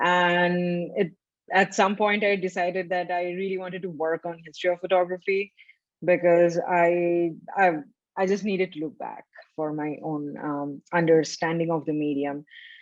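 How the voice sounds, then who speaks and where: A woman with a Bengali accent, fairly low in pitch, at a moderate pace with fairly even intonation. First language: Bangla. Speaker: photography historian. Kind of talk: interview. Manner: hesitant, many fillers.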